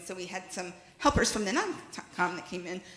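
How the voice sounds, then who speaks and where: A woman speaks with lively intonation. Audible room echo and noticeable background noise surround her voice. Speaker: congregation board chair. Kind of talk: meeting chairing from a script. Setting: congregational meeting hall with in-person and Zoom attendees. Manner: fast.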